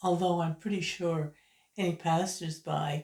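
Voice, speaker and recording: A woman speaks with a Canadian Maritime accent at a fairly low pitch. Her tone is dark and mellow, and somewhat breathy. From Canada, Prince Edward Island. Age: 70s. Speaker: YouTuber, retired writer. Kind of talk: casual vlog monologue.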